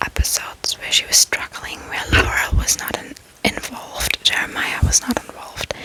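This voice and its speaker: A woman whispering at a moderate pace amid noticeable background noise. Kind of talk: ASMR whisper ramble. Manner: whispered, soft-spoken, calming.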